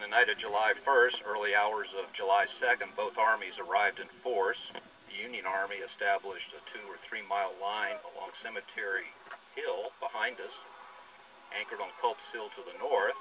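A man at a moderate pace, with big swings in loudness and noticeable background noise. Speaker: presenter. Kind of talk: lecture. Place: open country.

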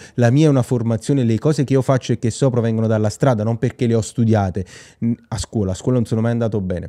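With a quiet background, a man speaks at a very fast pace in a medium-pitched, dark, mellow tone with ordinary pitch variation. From southern Italy, Nola near Naples; southern Italy. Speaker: real estate auction consultant and YouTuber; real estate auction consultant, YouTuber. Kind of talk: vlog monologue. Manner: animated. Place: home room. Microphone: studio mic.

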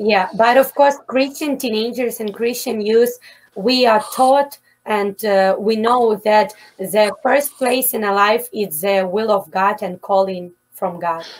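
At a very slow pace, a woman speaks in a fairly high pitch with ordinary pitch variation. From Ukraine. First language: Ukrainian or Russian. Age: 20s. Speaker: missionary; interview guest. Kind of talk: interview testimony; prayer. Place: home room. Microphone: webcam.

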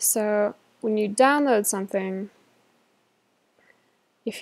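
A woman speaks at a fairly slow pace. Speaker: digital art tutorial maker. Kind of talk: casual screen-recording tutorial. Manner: hesitant, unplanned.

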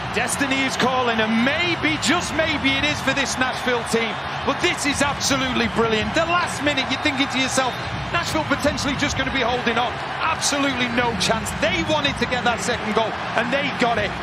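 Over loud background noise, a man speaks at a fairly quick pace in an extremely high pitch, with ordinary pitch variation and a dry sound with no echo. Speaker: football color commentator. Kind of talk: live football color analysis. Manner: excitable bursts of praise after goals; opinionated, explanatory analyst.

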